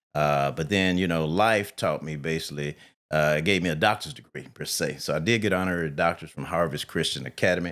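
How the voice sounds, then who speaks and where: A man's very deep, low pitch on a very clean recording with a silent background. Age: 60s. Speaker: engineer and financial trust advisor. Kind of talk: podcast interview.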